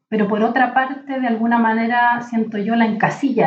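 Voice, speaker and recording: Here a woman speaks at a fairly high pitch. She keeps her intonation fairly even. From Chile, Valparaíso region (rural mountain area). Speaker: literature professor and librarian. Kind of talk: interview conversation.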